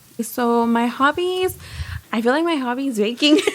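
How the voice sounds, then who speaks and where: This is an unremarkable speaking voice with an American accent, moving at a fairly slow pace with ordinary pitch variation. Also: woman. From Texas, Houston. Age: 20s. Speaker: baker. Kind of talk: casual chat.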